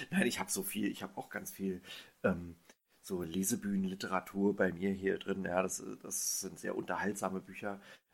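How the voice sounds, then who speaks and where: With monotone, flat intonation, a man speaks at a moderate pace and a fairly low pitch. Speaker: podcast host. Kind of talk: casual chat. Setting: remote call.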